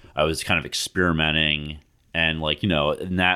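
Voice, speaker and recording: Vocal fry colors the speech of a man talking in an American accent. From New Jersey, Jersey Shore. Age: 30s. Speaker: poet. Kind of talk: poetry reading; casual chat.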